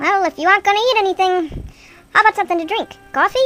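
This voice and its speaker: A woman races along at a very fast pace in a squeaky, put-on character voice pitched extremely high, with faint music playing behind her. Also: dry, close sound with no echo. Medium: solo performance. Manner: pushy, sarcastic salesman.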